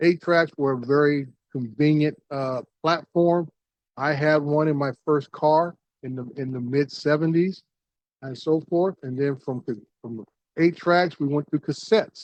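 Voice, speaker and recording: An ordinary speaking voice from a man, fairly high in pitch, with fairly even intonation and a dry, close sound with no echo. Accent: American. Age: 60s. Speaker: audio hobbyist youtuber. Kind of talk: casual video monologue. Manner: relaxed with many fillers.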